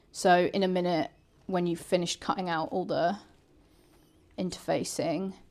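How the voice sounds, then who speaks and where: In a very clean recording with a silent background, a woman with a British accent speaks at a moderate pace and medium pitch, using ordinary pitch variation and long, frequent pauses. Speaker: sewing channel host helping a beginner. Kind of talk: casual chat during live sewing stream. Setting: live stream. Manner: loud.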